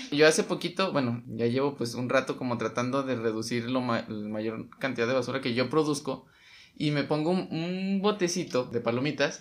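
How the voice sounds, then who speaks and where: Medium pitch and ordinary pitch variation from a man, a normal speaking voice at a moderate pace. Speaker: podcast co-host. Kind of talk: casual chat.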